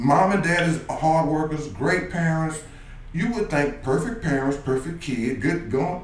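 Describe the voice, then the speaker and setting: A man with an American accent, high-pitched and animated, with ordinary pitch variation, noticeable background noise and audible room echo. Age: 60s. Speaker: youth basketball coach. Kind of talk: radio interview.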